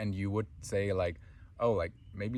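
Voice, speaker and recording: A man's somewhat breathy voice moves through ordinary pitch variation. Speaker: spiritual teacher. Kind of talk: spiritual talk.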